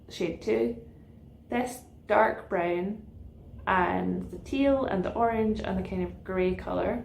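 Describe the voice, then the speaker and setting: Speaking fairly slowly in a Scottish accent, a woman is heard with audible room echo. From Scotland, central belt, west of Glasgow. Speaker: knitting podcaster. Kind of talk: casual chat.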